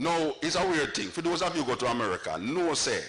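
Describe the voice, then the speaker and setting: A man with a Jamaican accent speaks at a fairly high pitch and a moderate pace, with very wide pitch swings. Noticeable background noise runs underneath. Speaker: dub poet. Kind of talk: comic storytelling to live audience.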